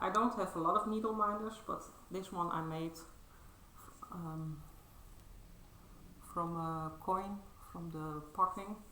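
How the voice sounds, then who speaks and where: A woman mumbles very slowly, with long, frequent pauses, a medium pitch and fairly even intonation. Audible room echo and noticeable background noise fill the recording. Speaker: cross-stitch vlogger. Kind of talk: casual show-and-tell vlog. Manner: halting, many fillers; mumbling.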